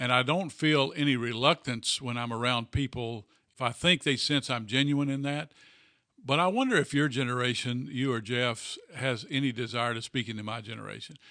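With ordinary pitch variation and a moderate pace, a man's medium-pitched voice has a bright, sharp tone. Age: 60s. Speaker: pastor. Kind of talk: casual chat. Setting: office.

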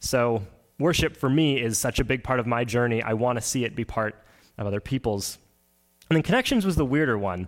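This man speaks with a Canadian Prairie accent at a medium pitch, fairly quickly, with ordinary pitch variation. The recording is very clean, with a silent background. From Manitoba, Canada (Oakbank, rural). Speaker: pastoral candidate, worship leader. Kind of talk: sermon.

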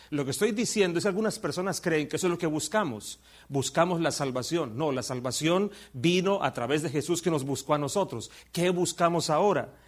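A man's unremarkable speaking voice, fairly high in pitch, with ordinary pitch variation and a fairly quick pace, on a very clean recording with a silent background. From Colombia. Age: 50s. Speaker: visiting preacher. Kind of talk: sermon.

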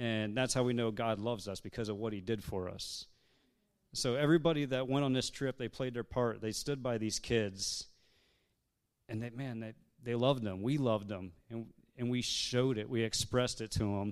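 A man with an unremarkable speaking voice talks at a moderate pace and medium pitch, his intonation fairly even, on a very clean recording with a silent background. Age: 30s. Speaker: church member on missions team. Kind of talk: church testimony talk. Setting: church service.

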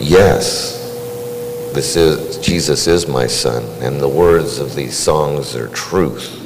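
A man's voice with very wide pitch swings, audible room echo and noticeable background noise. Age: 60s. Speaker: church member sharing testimony. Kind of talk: testimony. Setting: church.

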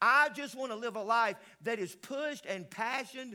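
A man uses a raised, projected voice at an extremely high pitch with a bright, sharp tone. He speaks with a Southern US accent. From US South, upstate South Carolina (Greenville/Pickens). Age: 60s. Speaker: pastor, guest revival preacher. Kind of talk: sermon. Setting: church with congregation.

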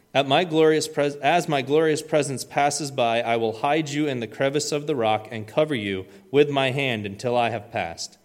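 With hardly any pauses, a man keeps a moderate pace. His pitch is fairly high, with ordinary pitch variation. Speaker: youth leader. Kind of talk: church announcements and prayer. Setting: church. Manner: hesitant, many fillers.

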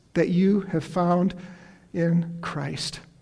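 There is audible room echo as a man with an American accent speaks in a high-pitched voice with a dark, mellow tone. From upstate New York. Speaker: retired pastor. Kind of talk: sermon. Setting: church. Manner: halting.

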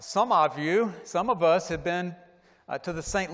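With an American accent, a man with a plain, everyday voice speaks at a fairly slow pace with lively intonation. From US South, Atlanta. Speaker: pastor. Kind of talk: sermon. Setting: church.

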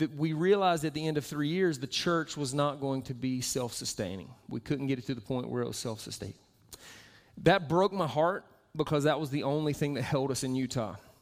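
Someone talks at a fairly quick pace with ordinary pitch variation. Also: man, fairly high pitch for a man. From US Southeast, Florida. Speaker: children's pastor. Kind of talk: sermon.

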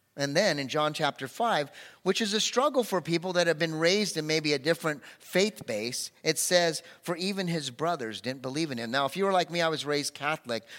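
On a very clean recording with a silent background, a man speaks at a fairly quick pace, his fairly high pitch carried by lively intonation. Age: 50s. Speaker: pastor. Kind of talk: sermon. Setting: church. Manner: animated.

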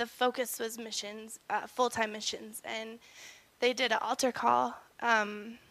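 Speaking fairly slowly with an American accent, a woman uses a fairly high voice with a bright, sharp tone. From Colorado, US. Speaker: church member sharing testimony. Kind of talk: testimony. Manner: halting.

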